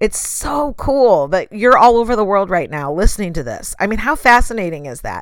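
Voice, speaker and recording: A woman with an American accent, fairly high-pitched and animated, with very wide pitch swings and vocal fry. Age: 30s. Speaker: podcast host. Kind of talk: solo motivational podcast monologue.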